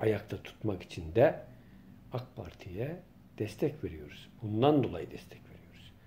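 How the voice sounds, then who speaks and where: A man's dark, mellow, somewhat breathy voice at a fairly slow pace, with very wide pitch swings, big swings in loudness, and light background noise. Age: 50s. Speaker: local journalist and political commentator; local journalist vlogger. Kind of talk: political monologue vlog. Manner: impassioned. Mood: indignant, complaining. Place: home room. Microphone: phone near.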